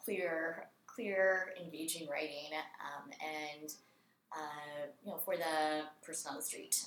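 With audible room echo, a woman with an American accent speaks very slowly in a very deep, low pitch and fairly even intonation. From US South, Raleigh, North Carolina. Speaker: design program chair and historian. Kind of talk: interview conversation.

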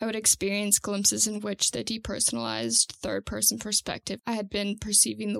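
Moderate pace, an American accent, and a dry, close sound with no echo. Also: woman. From Santa Cruz, California. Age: 20s. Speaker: farmer and land advocacy fellow. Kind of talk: reading aloud.

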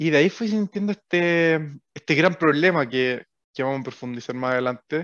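A man uses an ordinary speaking voice at a moderate pace and a fairly high pitch. His pitch varies in an ordinary way, and the sound is dry and close with no echo. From Chile, O'Higgins region (Rengo, Rancagua). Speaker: startup co-founder. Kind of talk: interview.

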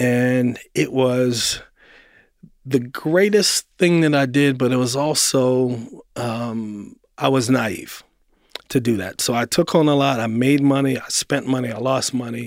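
Fairly slow pace and ordinary pitch variation in an unremarkable speaking voice. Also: man, medium pitch for a man. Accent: American. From Baltimore, Maryland, US. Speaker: finance executive and community investor. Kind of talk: interview conversation.

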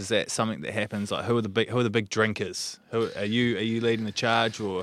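With a New Zealand accent, a man speaks at a fairly quick pace and fairly low pitch on a very clean recording with a silent background. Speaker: podcast host. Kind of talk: interview.

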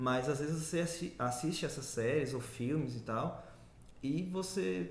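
Somewhat breathy, a man speaks with lively intonation amid audible room echo. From interior of Bahia, Brazil. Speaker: journalism student and researcher. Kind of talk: casual interview.

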